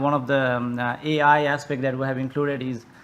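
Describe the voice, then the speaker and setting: Noticeable background noise accompanies a man talking at a very fast pace. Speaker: tool developer presenting a demo. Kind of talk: conference software demo. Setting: conference presentation. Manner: halting, many fillers and restarts.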